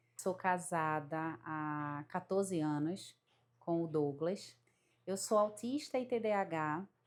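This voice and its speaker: This woman's fairly low voice moves at a very slow pace. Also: ordinary pitch variation, very clean recording, silent background. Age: 30s. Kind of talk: testimony. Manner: halting.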